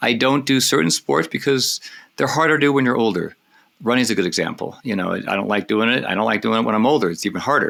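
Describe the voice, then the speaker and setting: In a very clean recording with a silent background, a man talks very fast at medium pitch, with vocal fry and lively intonation. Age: 60s. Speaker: cycling coach. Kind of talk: podcast interview. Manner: halting.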